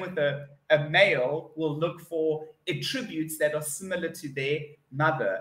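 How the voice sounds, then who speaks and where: A man with a South African accent, fairly high pitched, at a moderate pace, with audible room echo. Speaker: online English tutor. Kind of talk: online English lesson conversation. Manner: upbeat, spontaneous. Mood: cheerful, chatty. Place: home room.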